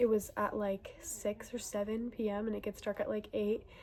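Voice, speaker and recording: A fairly high-pitched, somewhat breathy female voice, dark and mellow in tone, at a moderate pace. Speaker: book reviewer. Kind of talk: casual vlog monologue. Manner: animated.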